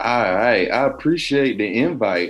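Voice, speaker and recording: A man speaks with a Southern US accent. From Georgia, near South Carolina border. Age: 30s. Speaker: professor. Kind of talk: casual interview.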